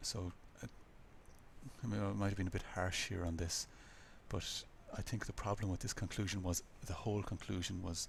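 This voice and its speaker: Somewhat breathy and in an Irish accent, the voice stays flat and monotone at very even loudness, with long, frequent pauses. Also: man, very deep, low pitch for a man. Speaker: lecturer. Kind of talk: lecture feedback on student projects. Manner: fast.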